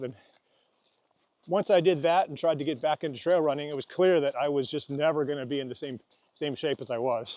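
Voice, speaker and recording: This man has an ordinary speaking voice, pitched fairly high, and talks at a fairly quick pace. The sound is dry and close, with no echo. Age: 60s. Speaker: ultra hiker and trail volunteer. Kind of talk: casual interview while walking. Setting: outdoors on a trail in rain.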